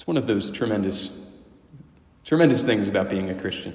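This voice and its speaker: A man speaks with a warm tone at a moderate pace. His intonation is lively. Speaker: priest or prayer leader. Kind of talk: guided prayer, spoken aloud to God and then to the listeners. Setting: church, a Wednesday evening prayer gathering. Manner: reverent, warm and conversational, with hesitations and restarts.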